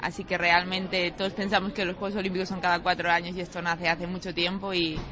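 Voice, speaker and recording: This is a woman speaking. Her pitch is fairly low. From Spain, Galicia (Pontevedra). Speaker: Olympic sailor. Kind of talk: interview. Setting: airport.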